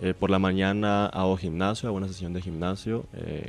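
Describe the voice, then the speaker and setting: A man speaks with a monotone, flat intonation at a very deep, low pitch. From Mexico, Hermosillo (Sonora). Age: 20s. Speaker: speed skater, world champion athlete. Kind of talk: radio interview.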